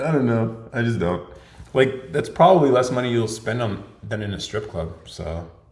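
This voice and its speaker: Lively intonation comes through at a moderate pace, with noticeable background noise and audible room echo. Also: man. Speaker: podcast host. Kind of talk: live Q&A stream. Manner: casual, filler-heavy.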